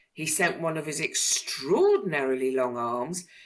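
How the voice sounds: The clip carries a natural reading voice.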